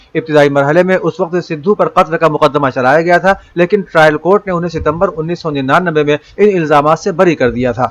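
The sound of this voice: Speaking at a fairly quick pace, a man with a fairly high pitch shows ordinary pitch variation.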